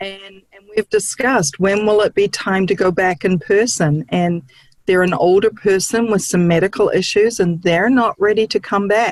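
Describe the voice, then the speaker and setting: Speaking with a New Zealand accent, a woman at medium pitch keeps a moderate pace and fairly even intonation in a dry, close sound with no echo. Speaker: licensed counselor. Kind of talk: interview.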